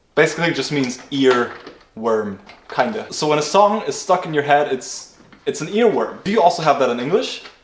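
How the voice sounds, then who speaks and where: A man with a German accent, a fairly high pitch, lively intonation and an enthusiastic tone at a moderate pace. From Germany. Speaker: car builder YouTuber. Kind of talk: casual vlog narration. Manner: casual, enthusiastic.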